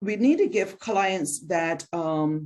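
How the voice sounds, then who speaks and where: With a Barbadian accent and lively intonation, a woman talks at a fairly low pitch. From Barbados. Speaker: mental health counselor and presenter. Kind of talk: lecture. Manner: hesitant with frequent fillers.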